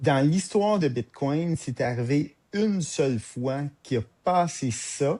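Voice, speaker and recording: Speaking with a Quebec accent, a man has a fairly high pitch, a dark, mellow tone and lively intonation. He talks at a very slow pace against a quiet background. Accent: Québécois French. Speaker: podcast co-host. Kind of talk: casual podcast discussion. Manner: hesitant, many fillers.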